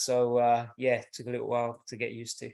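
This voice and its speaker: Recorded very cleanly against a silent background, a man talks at a moderate pace. His medium-pitched voice carries a British accent. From southern England, Milton Keynes. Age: 30s. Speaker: track coach. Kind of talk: podcast interview.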